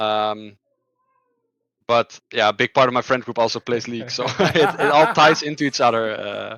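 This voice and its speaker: A man with a Dutch accent, medium-pitched and bright and sharp in tone, at a moderate pace with ordinary pitch movement, long, frequent pauses and a dry, close sound free of echo. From Netherlands. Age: 20s. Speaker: esports player. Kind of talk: interview. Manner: halting, many fillers and repetitions.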